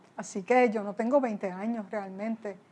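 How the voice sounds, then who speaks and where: A woman speaks at a fairly slow pace with a fairly high pitch. It is an ordinary speaking voice. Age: 60s. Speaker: pastor. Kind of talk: interview. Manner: conversational.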